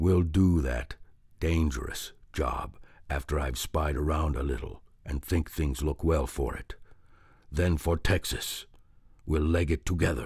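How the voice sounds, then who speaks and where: In a put-on character voice, a man speaks raspily at a very deep, low pitch with fairly even intonation, a fairly slow pace and long, frequent pauses, in a very clean recording with a silent background. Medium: read story. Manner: gruff, scornful.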